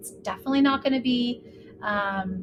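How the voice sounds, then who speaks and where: Over noticeable background noise, the speaker sounds animated, with lively intonation at a moderate pace. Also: woman. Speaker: podcast host. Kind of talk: solo podcast chat. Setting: home recording, lying in bed.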